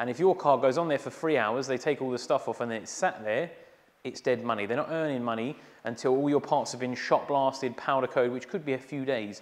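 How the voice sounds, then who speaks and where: Very fast delivery from a man, pitch varying in an ordinary way. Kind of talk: tutorial. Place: garage.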